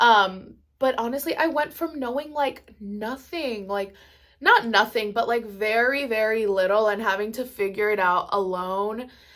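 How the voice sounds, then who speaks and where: Very clean recording with a silent background, carrying a bright, sharp tone. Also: woman. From Maryland, US, Mexican family. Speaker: YouTuber, makeup artist. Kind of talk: casual chat. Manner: casual, filler-heavy.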